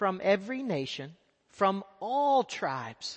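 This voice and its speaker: With an American accent, a man talks at a high pitch, his voice swinging very widely up and down. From Texas. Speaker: missionary. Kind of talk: sermon. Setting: church.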